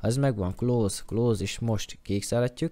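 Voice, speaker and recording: On a very clean recording with a silent background, a man talks at a moderate pace and medium pitch, his tone dark and mellow and his intonation fairly even. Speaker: gaming YouTuber. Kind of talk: tutorial. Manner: halting, stammering.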